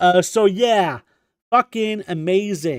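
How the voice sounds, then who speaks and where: A man with a Quebec accent and a high pitch, in a very clean recording with a silent background and a dry, close sound with no echo. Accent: French Canadian accent in English. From Quebec, French Canada. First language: French. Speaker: video game streamer. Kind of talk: live stream commentary. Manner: casual, many filler words.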